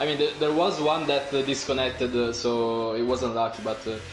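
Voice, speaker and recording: Music plays in the background as a man speaks at a medium pitch and a moderate pace, his intonation fairly even, with audible room echo. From Italy. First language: Italian. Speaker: sim racing co-commentator. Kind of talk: live commentary.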